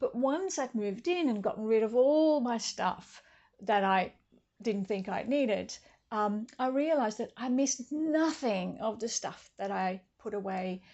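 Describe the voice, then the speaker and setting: With lively intonation, a woman speaks at a fairly slow pace. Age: 60s. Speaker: vlogger on tiny house living. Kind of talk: casual talk to camera. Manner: hesitant, many fillers.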